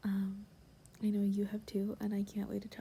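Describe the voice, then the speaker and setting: The voice is soft-spoken, almost a whisper. Vocal fry runs through it. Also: woman. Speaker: ASMR creator. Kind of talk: ASMR roleplay, casual talk to camera. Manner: soft-spoken, whispery, caring.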